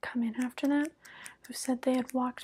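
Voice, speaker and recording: Here a woman talks. Her voice is high-pitched. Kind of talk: soft-spoken roleplay chat. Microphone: lapel.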